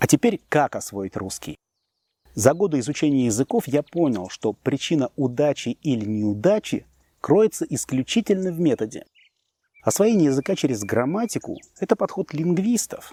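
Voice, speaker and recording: A man with a fairly high pitch, very wide pitch swings and a dark, mellow tone at a moderate pace, in a dry, close sound with no echo. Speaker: language teacher. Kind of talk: scripted narration. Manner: formal.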